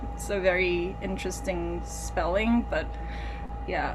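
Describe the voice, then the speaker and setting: Speaking at a fairly slow pace, a woman is heard with audible room echo. Noticeable background noise runs under her voice. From Thailand. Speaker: musical theatre composer. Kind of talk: interview. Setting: video call. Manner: halting.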